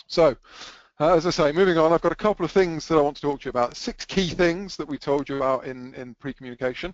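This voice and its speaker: Here a man speaks very fast with an American accent. His pitch sits fairly high. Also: ordinary pitch variation. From England. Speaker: photographer. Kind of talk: webinar presentation.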